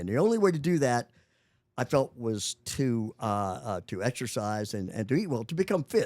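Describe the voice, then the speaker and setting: Moving at a moderate pace with very wide pitch swings, a man speaks on a very clean recording with a silent background. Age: 80s+. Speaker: senior bodybuilder, retired finance professional. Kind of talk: interview. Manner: halting, many repetitions and fillers.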